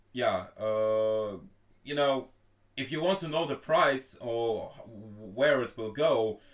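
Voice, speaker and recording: A man speaks with a Russian accent at a very slow pace. Long pauses break up his speech often. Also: medium pitch for a man, ordinary pitch variation. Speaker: stream host. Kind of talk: casual group voice chat. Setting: live stream voice chat.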